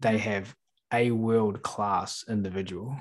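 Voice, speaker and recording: Against a quiet background, a man with a New Zealand accent talks at a very slow pace, his fairly low pitch moving with fairly even intonation. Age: 30s. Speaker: animal trainer. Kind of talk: casual chat.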